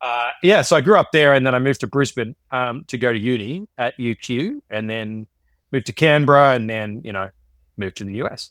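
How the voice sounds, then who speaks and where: Ordinary pitch variation and an Australian accent at a fairly quick pace, in a very clean recording with a silent background and a dry, close sound with no echo. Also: man, medium pitch for a man. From Australia, Queensland (Sunshine Coast). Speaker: economics professor. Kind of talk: podcast interview. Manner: casual, with many fillers and repetitions.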